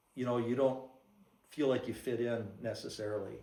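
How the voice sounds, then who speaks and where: A man speaks at a medium pitch, with audible room echo around his voice. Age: 70s. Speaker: church member giving testimony. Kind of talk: testimony. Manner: halting.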